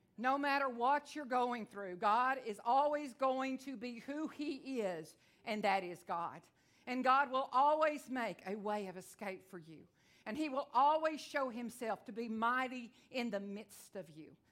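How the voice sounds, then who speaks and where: A woman with a Texan accent, high-pitched, with lively intonation. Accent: Texan twang. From Texas. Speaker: visiting evangelist preacher. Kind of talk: sermon. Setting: church with congregation. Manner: fast talker.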